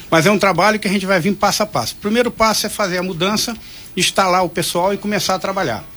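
Talking at a very fast pace, a man uses a high voice with fairly even intonation. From Angra dos Reis, Rio de Janeiro state, Brazil. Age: 60s. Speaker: hospital administrator. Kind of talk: radio interview. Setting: radio studio. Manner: halting.

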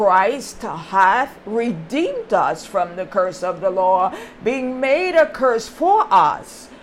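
A woman speaks very slowly at a fairly high pitch, her voice swinging very widely up and down. Noticeable background noise runs under her. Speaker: preacher. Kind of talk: sermon with prayer. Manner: formal, archaic religious diction; slow, deliberate when praying.

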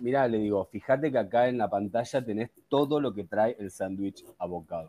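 A man with a Rioplatense accent, moderate pace and ordinary pitch variation. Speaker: podcast co-host. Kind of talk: casual chat.

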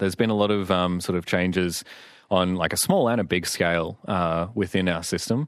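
A man's very deep, low voice with an Australian accent, at a fairly quick pace against a quiet background. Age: 20s. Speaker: psychologist. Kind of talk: radio interview. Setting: radio studio.

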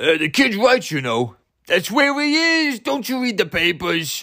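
A man puts on a character voice, pitched high for a man and raised to project. He speaks at a fairly slow pace with very wide swings in pitch. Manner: tough, streetwise.

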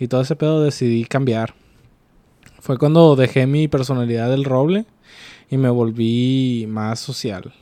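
A man's voice sits at a medium pitch, dark and mellow in tone, with ordinary pitch variation. He speaks at a fairly slow pace against a quiet background. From Mexico, Ciudad Acuña, Coahuila. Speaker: podcast host. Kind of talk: casual chat.

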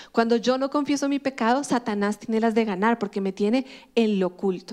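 A woman talks at a fairly quick pace with ordinary pitch variation in an unremarkable speaking voice. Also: very clean recording, silent background. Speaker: pastor. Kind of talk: sermon.

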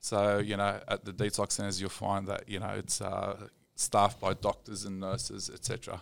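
In an Australian accent, a man talks at a moderate pace. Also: very clean recording, silent background. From Australia, Sydney. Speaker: rehab clinic manager. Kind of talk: casual chat.

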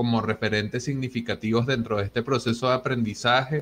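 With fairly even intonation, a man speaks at medium pitch. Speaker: Bitcoin community organizer and host. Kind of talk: interview.

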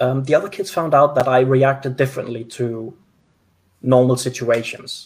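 A man speaks at a moderate pace in a somewhat breathy, medium-pitched voice with fairly even intonation. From Denmark. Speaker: mental health advocate. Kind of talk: interview. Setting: video call.

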